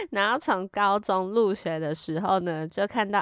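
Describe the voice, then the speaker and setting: With a Taiwanese accent, a woman speaks in a fairly low voice with an animated tone and ordinary pitch variation, in a very clean recording with a silent background. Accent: Taiwanese Mandarin. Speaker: podcast host. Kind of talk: casual storytelling monologue. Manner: animated, laughs often.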